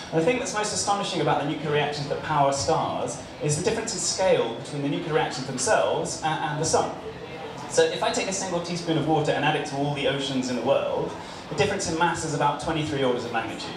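A man speaks very fast in a fairly high voice with ordinary pitch variation, and the recording carries audible room echo and noticeable background noise. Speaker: stand-up comedian and nuclear physicist. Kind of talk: stand-up comedy routine with jokes and anecdotes. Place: bar.

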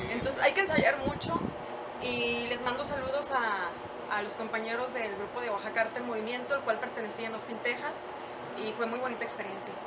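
A woman talks fairly quickly against loud background noise. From Mexico, San Luis Potosí. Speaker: radio host, TV presenter and actress. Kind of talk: casual interview. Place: garden.

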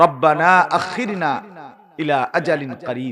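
This man speaks in an animated tone with lively intonation. His pitch is fairly high. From Bangladesh, Cumilla town. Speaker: Islamic preacher. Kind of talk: sermon. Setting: open-air religious gathering under a marquee with audience.

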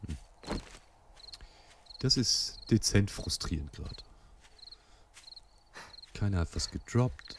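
Speaking at a very slow pace with long, frequent pauses, a man with a fairly low pitch is heard in a dry sound with no echo but noticeable background noise. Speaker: let's play gamer; gamer. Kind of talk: casual gameplay commentary. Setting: home recording, muffled microphone.

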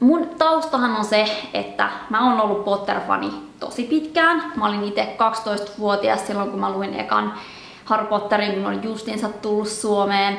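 In a space with audible room echo, a woman speaks at a fairly slow pace. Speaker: book channel host. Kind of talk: personal commentary monologue. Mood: earnest, troubled, reflective. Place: home room.

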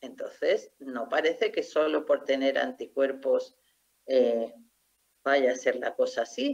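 Against a quiet background, this woman talks very slowly. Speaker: doctor and researcher; medical lecturer. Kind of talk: lecture. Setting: video call. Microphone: video call.

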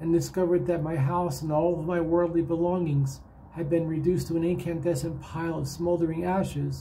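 A man's fairly quick speech over light background noise. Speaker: online video presenter. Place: home room. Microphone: webcam.

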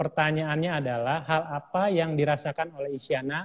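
Against a quiet background, a man talks at a fairly quick pace in a fairly high pitch with ordinary pitch variation. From Indonesia. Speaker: livestream host. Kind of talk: interview. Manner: animated. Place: studio.

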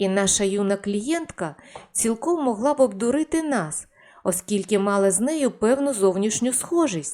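Lively intonation in a natural reading voice

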